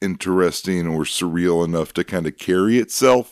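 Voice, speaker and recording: The sound is dry and close with no echo. A man talks with a very deep, low pitch, ordinary pitch variation and a moderate pace. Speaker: podcast host. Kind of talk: casual banter.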